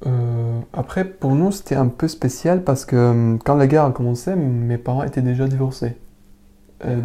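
Fairly slow in pace, a man talks with a dark, mellow tone and ordinary pitch variation. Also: medium pitch for a man. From Syria, Damascus. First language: Arabic (speaking French). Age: 20s. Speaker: refugee interviewee. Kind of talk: personal testimony interview. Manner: halting, many hesitations and repetitions.

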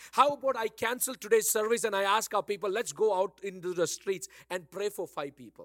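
Someone with an Indian accent speaks in an animated tone at a fairly quick pace, with hardly any pauses and ordinary pitch variation. The recording is very clean, with a silent background and a dry, close sound with no echo. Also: man, high pitch for a man. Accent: Indian English, Bangalore. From Bangalore, India. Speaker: pastor. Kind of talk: sermon. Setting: church. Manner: animated, exhortative.

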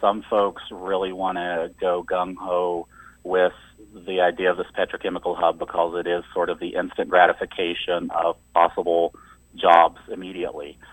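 An Appalachian accent at a moderate pace. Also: man. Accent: Appalachian American. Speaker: environmental organizer. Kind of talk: radio interview.

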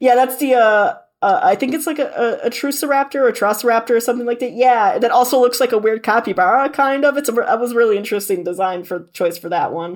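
Very fast and with hardly any pauses, a woman speaks in an animated tone with a high pitch and lively intonation. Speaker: magazine editor guest. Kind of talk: casual chat. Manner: animated, rambling.

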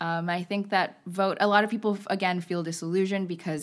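Here is a woman with an unremarkable speaking voice and a fairly low pitch. She keeps a moderate pace on a very clean recording with a silent background. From Texas. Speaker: college student. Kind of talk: casual interview. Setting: studio.

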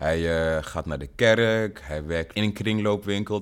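An unremarkable speaking voice, with ordinary pitch variation at a fairly slow pace, on a very clean recording with a silent background. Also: man. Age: 30s. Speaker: rapper and music producer. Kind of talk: recorded spoken message; casual interview.

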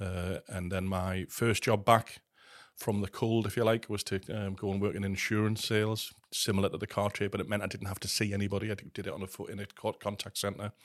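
In a very clean recording with a silent background, a man with fairly low pitch talks at a fairly quick pace in a monotone, flat intonation. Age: 50s. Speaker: gambling recovery trainer. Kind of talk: casual chat.

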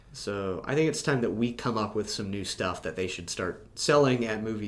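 A man with a fairly low pitch, ordinary pitch variation and a moderate pace, with audible room echo. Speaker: podcast co-host. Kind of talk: casual chat. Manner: loud.

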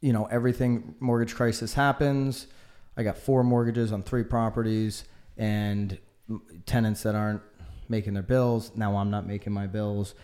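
At a moderate pace and medium pitch, a man with an American accent speaks with fairly even intonation in an unremarkable speaking voice. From Connecticut. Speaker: real estate agent. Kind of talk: casual interview.

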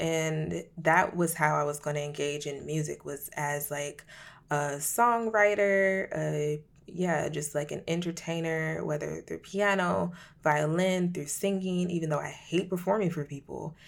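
In a plain, everyday voice, a woman speaks fairly low in pitch. Her pace is moderate and her pitch variation ordinary, on a very clean recording with a silent background. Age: 30s. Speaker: podcast host and creative activist. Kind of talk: casual solo monologue. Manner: casual, filler-heavy (um, like).

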